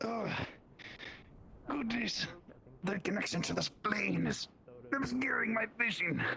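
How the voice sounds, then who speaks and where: A man puts on a character voice pitched high, at a fairly slow pace. Clear background noise sits behind him. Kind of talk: auctioneer patter. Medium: actual play. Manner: formal, flowery, slightly pompous.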